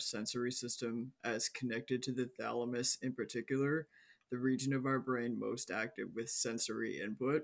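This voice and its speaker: Here a man speaks at a moderate pace in a medium pitch. His intonation is monotone and flat. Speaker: mental health video creator. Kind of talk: educational monologue.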